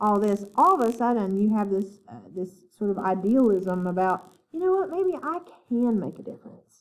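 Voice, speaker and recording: A woman with an Appalachian accent speaks fairly slowly at medium pitch. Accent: Appalachian twang. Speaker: literature professor. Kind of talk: lecture. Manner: halting, many fillers.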